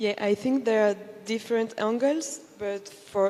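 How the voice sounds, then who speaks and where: A woman with a fairly high pitch speaks in a plain, everyday voice at a fairly slow pace. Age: 20s. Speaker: travel content creator. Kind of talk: panel discussion.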